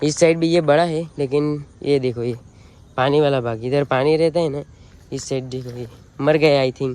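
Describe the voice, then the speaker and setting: A man speaks at a moderate pace with a Gujarati accent. His pitch is fairly high. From Gujarat, India. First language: Gujarati (speaking Hindi). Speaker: vlogger, farmer. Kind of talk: casual vlog walkthrough. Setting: outdoors in a farm field.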